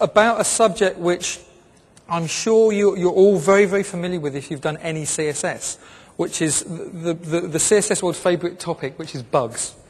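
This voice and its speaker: With an American accent, the speaker keeps a moderate pace and ordinary pitch variation. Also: man, high pitch for a man. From southern England (Brighton). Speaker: web design consultant and conference speaker. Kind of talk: conference talk. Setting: stage with audience. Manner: hesitant, many fillers.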